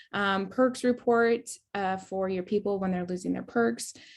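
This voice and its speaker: This woman has a normal speaking voice at medium pitch, talking at a moderate pace with ordinary pitch variation. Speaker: network marketing team leader. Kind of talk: training webinar. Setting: video call with screen share. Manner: casual, filler-heavy.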